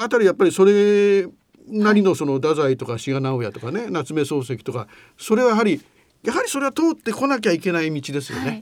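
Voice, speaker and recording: A man speaks with a high voice. His pitch swings very widely. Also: fairly quick pace. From Hiroshima, Japan. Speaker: radio host. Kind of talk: casual interview chat.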